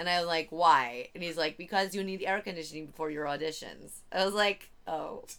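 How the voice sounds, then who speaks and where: A woman with an American accent talks fairly quickly with hardly any pauses, in a normal speaking voice that is fairly low-pitched with ordinary pitch variation. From Virginia, US. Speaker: comedian. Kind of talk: casual chat. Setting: at home in the host's room. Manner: giggly, laughs constantly.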